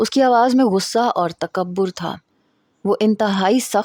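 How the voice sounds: Pitch moves in a normal way in this natural reading voice. Nothing else is audible behind it.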